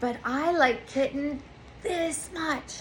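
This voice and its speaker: A woman puts on a character voice pitched high. Clear background noise runs behind her. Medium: read story.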